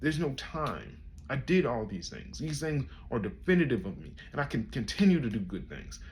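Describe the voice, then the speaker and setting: Amid audible room echo, a man with vocal fry talks quickly at medium pitch, his voice making very wide pitch swings. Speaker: content creator. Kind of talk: personal monologue. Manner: halting.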